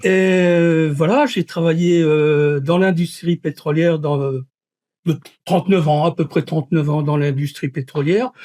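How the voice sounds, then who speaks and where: The dark, mellow voice moves at a fairly slow pace with fairly even intonation and very even loudness, against a quiet background. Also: man, fairly high pitch for a man. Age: 70s. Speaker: retired engineer, local election candidate. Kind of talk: interview.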